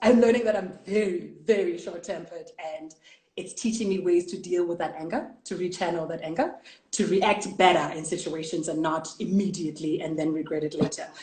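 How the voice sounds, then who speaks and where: A woman speaks at a moderate pace with ordinary pitch variation, and room echo is audible. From South Africa. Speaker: international broadcast journalist. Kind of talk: casual interview chat. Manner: loud.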